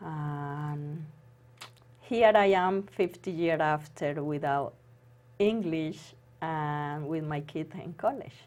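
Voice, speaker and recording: A woman speaks at a very slow pace with a non-native accent. Her pitch is very deep and low, with ordinary variation. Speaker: former accountant and homemaker. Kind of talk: interview. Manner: halting.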